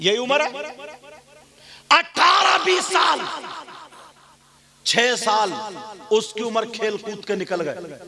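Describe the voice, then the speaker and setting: Over crowd noise in the background, a man is shouting. His high voice swings very widely in pitch. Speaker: Islamic preacher giving a sermon. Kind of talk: public Islamic sermon.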